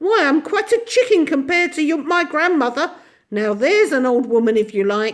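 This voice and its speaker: A female-sounding voice in a put-on character cackles at a moderate pace, high and shrill with very wide pitch swings. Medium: read story. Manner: quick changes between bullying and sweetness.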